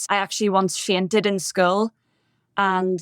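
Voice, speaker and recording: A woman with a Northern Irish accent speaks at a moderate pace on a very clean recording, with a silent background and a dry, close sound free of echo. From Northern Ireland, Bangor near Belfast. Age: 30s. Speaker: podcast guest in recovery. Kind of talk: testimony.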